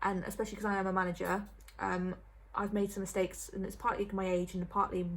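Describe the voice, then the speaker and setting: A woman rattles along at a very fast pace, somewhat breathy, her medium-pitched voice monotone and flat. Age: 20s. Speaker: vlogger. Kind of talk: casual chat.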